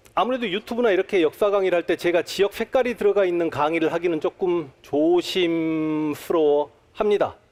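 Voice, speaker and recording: The speaker uses ordinary pitch variation in a Jeolla accent. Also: man. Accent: Jeolla dialect Korean. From Honam (Jeolla region), Korea. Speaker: history lecturer. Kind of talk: public lecture. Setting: stage with audience at a talk concert.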